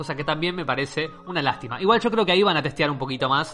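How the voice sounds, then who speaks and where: A man talks in a Rioplatense accent. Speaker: podcast host. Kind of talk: casual chat.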